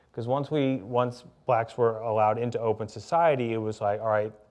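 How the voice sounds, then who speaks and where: A man with an American accent has a normal speaking voice at a medium pitch and moderate pace. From US South, Louisiana and Birmingham, Alabama. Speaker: author. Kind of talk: public conversation.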